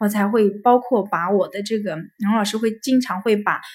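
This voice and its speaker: A woman speaks in a medium-pitched, somewhat breathy voice with fairly even intonation. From Hefei, Anhui, China. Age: 30s. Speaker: staff at a psychology counseling center. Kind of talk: interview sharing life story. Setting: recorded at a psychology center office. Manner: hesitant with many fillers.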